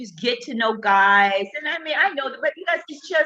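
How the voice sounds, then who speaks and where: The voice has a bright, sharp tone, very wide pitch swings and an animated tone. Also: woman. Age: 50s. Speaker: relationship talk livestreamer. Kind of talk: casual chat. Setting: live stream.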